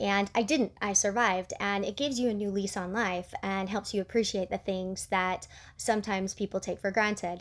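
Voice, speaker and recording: A woman with an American accent, medium pitch and fairly even intonation, at a moderate pace with hardly any pauses, on a very clean recording with a silent background. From Utah, US. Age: 40s. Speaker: amputee vlogger. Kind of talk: casual Q&A vlog. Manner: chatty, many fillers and restarts.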